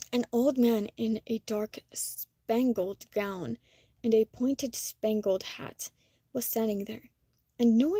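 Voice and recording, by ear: The speaker reads aloud in a natural voice over a quiet background.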